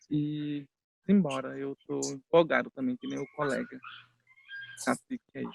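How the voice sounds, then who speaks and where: The sound is dry and close with no echo as a man speaks at a fairly slow pace, leaving long, frequent pauses. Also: big swings in loudness. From Mato Grosso, Brazil (Bororo village). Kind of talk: self-introduction in panel discussion.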